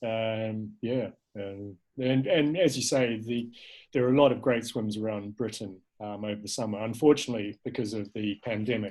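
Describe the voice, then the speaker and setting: Speaking with a New Zealand accent, a man shows ordinary pitch variation. The recording is very clean, with a silent background. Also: medium pitch for a man, moderate pace. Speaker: filmmaker and cold water swimmer. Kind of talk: casual interview chat. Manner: hesitant, many fillers and repeats.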